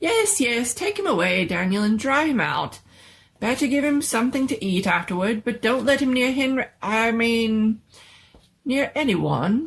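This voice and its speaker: Using a put-on character voice, a woman speaks at a moderate pace in a squeaky, fairly high pitch. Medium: read story. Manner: fussy, old-fashioned exclamations.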